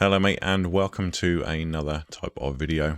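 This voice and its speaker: A man's very deep, low voice with vocal fry, in a very clean recording with a silent background. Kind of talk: casual reaction commentary to camera.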